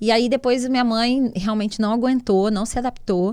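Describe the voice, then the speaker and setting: At a moderate pace, a woman with a Carioca accent speaks in a dark, mellow tone on a very clean recording with a silent background. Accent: carioca, hissing s. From Rio de Janeiro, Brazil. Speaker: entrepreneur, CEO. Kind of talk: interview, casual chat.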